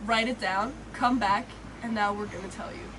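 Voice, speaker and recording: A woman with a fairly high pitch talks at a moderate pace with fairly even intonation. Audible room echo and noticeable background noise surround her voice. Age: 20s. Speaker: vlogger, co-host of travel Q&A. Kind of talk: casual chat.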